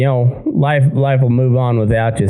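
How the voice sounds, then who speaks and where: A man with an American accent talks at a moderate pace. Music plays in the background and the room echo is audible. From southeast Colorado. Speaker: podcast host and cowhand. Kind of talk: casual interview. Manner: halting.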